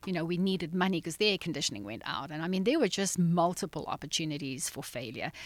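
A woman with a South African accent speaks very fast at a fairly low pitch, her pitch varying in an ordinary way, on a very clean recording with a silent background. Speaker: nonprofit founder. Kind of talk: casual interview. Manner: laughs easily.

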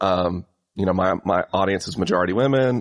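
The sound is dry and close with no echo. Pitch varies in an ordinary way. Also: man. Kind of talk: casual conversational interview.

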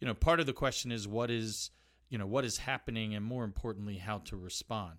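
A man with an unremarkable speaking voice and fairly even intonation. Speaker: think tank expert and professor. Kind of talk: interview answers.

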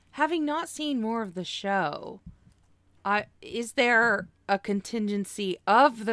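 A woman's voice with very wide pitch swings, on a very clean recording with a silent background. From Oklahoma. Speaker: podcast host. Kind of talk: casual chat.

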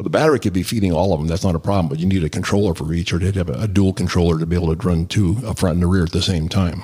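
Very fast and with hardly any pauses, a man with an American accent speaks in a very deep, low pitch and fairly even intonation on a very clean recording with a silent background. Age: 70s. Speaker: e-bike hobbyist and customer. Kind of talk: casual interview chat. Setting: in-person studio.

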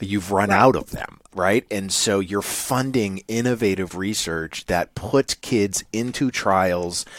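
Speaking at a very slow pace, a man with a New England accent and fairly low pitch shows ordinary pitch variation in a dry, close sound with no echo. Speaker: podcast co-host.

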